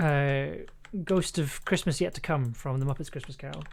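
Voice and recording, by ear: The tone is slightly mellow, and the pace is fairly slow. Intonation stays lively throughout.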